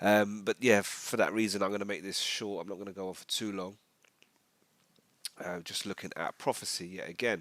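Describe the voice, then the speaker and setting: A man with a fairly low pitch talks at a fairly quick pace in a flat monotone, his loudness swinging widely and his speech broken by long, frequent pauses. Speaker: religious video teacher. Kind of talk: religious commentary monologue. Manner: casual, hesitant with fillers.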